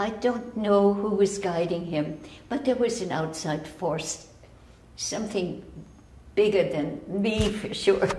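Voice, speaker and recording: Amid noticeable background noise and audible room echo, a woman speaks very slowly at a medium pitch, with ordinary pitch variation. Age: 90s. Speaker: rescued driver. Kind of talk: news interview. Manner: halting.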